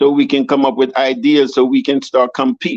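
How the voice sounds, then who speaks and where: With a fairly high pitch, a man talks at a moderate pace, recorded dry and close with no echo. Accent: Jamaican. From Jamaica. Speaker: city council candidate. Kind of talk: interview. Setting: video podcast. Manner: animated.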